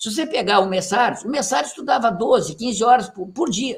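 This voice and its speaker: Extremely high in pitch, a man speaks at a fairly quick pace. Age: 60s. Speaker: retired university professor and author. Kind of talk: lecture. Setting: reading group session. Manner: animated, emphatic with frequent tag questions.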